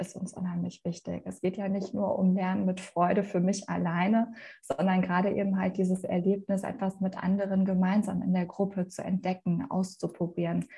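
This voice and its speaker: Speaking at a moderate pace, a woman has a dark, mellow, somewhat breathy tone and a monotone, flat intonation. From Germany, Ruhr area (Essen). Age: 40s. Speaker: youth education program director. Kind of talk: interview.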